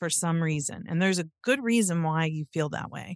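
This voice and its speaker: A plain, everyday voice from a woman, fairly low in pitch, at a moderate pace, with a dry, close sound with no echo and a quiet background. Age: 50s. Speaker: podcast host, therapist and social worker. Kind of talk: interview chat; scripted intro/outro narration.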